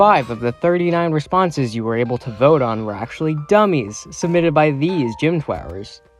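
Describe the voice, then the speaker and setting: The speaker has an American accent and lively intonation. There are hardly any pauses, with music in the background. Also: man, fairly high pitch for a man, moderate pace. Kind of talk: competition results voiceover. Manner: casual, profane.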